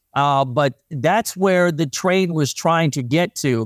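In a very clean recording with a silent background, a man with an American accent talks at a moderate pace with ordinary pitch variation in a plain, everyday voice. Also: dry, close sound with no echo. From US Mid-Atlantic, northeastern Maryland. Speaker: meteorologist and railroad buff. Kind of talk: interview.

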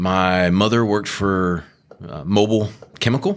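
In a Texan accent, a man speaks at a moderate pace with a fairly low pitch and ordinary pitch variation. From Southeast Texas, Beaumont. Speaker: energy company executive. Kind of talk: interview. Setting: office tower.

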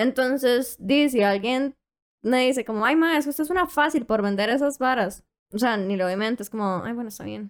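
A woman's high-pitched voice at a moderate pace with ordinary pitch variation, on a very clean recording with a silent background. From Costa Rica, Puntarenas. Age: young. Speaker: online content seller. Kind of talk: casual interview.

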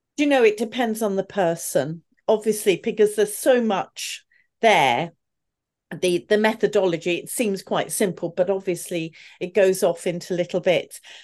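A British accent at a moderate pace, ordinary pitch variation, quiet background. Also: woman, medium pitch for a woman. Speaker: communication coach and former opera singer. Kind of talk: interview conversation.

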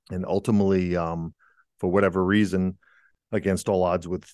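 Over a quiet background and with a dry, close sound with no echo, a man with an American accent talks in a very deep, low pitch with monotone, flat intonation. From New England, Rhode Island. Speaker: musician and author. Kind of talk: interview conversation. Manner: halting, many fillers and restarts.

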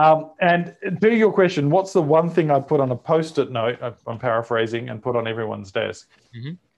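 A man with an Australian accent, fairly high-pitched, at a fairly quick pace with lively intonation. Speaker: marketing executive and author. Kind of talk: interview conversation.

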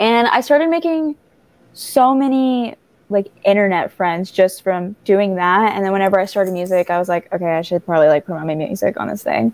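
A woman with an American accent and a normal speaking voice talks at a fairly quick pace, a medium pitch and lively intonation. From small-town US, half Mexican. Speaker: singer-songwriter. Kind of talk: interview.

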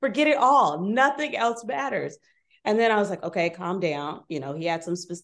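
A plain, everyday voice with an American accent, lively intonation and a fairly quick pace against a quiet background. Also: woman. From Inglewood, Los Angeles, US. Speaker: wedding planner and wine bar co-owner. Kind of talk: casual interview.

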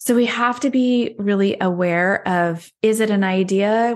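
A woman speaks in a normal speaking voice at a medium pitch with ordinary pitch variation. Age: 40s. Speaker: health and weight loss coach. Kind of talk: interview conversation.

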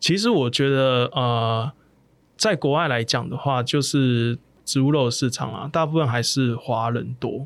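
The recording is very clean, with a silent background. A man with an ordinary speaking voice talks at medium pitch and a fairly slow pace with ordinary pitch variation. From southern Taiwan. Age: 30s. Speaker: plant-based meat entrepreneur. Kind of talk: interview.

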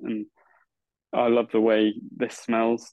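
A man talks with an English accent. His pitch is medium. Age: 30s. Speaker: podcast host, guitar meetup organiser. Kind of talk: interview.

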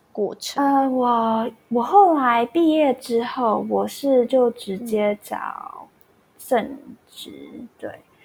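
In a Taiwanese accent, a woman speaks at a very slow pace in a high pitch, with lively intonation and big swings in loudness. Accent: Taiwanese Mandarin. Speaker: music graduate, former exchange student. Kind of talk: casual interview.

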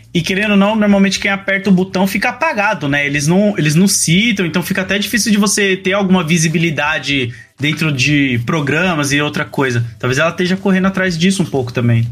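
Over noticeable background noise, a man speaks fairly quickly with hardly any pauses, his high pitch moving in lively intonation. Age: 30s. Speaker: content creator. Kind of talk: casual chat.

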